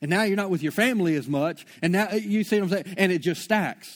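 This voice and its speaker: On a very clean recording with a silent background, a man speaks at a high pitch and fairly quick pace with ordinary pitch variation. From Shreveport, Louisiana. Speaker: pastor. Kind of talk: sermon. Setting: church. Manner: casual, filler-heavy.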